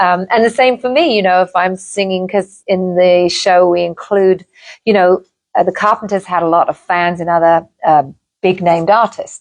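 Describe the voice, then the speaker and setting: A woman with an English accent speaks at a moderate pace and a medium pitch. Her intonation is fairly even and her loudness very even. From England. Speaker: singer. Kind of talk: interview.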